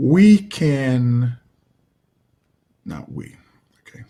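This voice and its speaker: Pitch rises and falls very widely. There is some breathiness in the voice. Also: man. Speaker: martial arts coach and motivational speaker. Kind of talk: motivational talk. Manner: repetitive, stammering.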